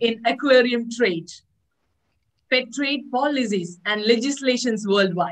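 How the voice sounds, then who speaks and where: Her high voice moves at a fairly slow pace as the woman speaks. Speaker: webinar host. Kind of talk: speaker introduction.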